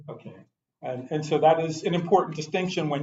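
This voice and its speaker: Using a normal speaking voice, a man with an American accent speaks at a fairly high pitch with ordinary pitch variation. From New York City. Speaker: pastor giving a talk on race. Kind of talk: lecture. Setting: church adult forum with audience.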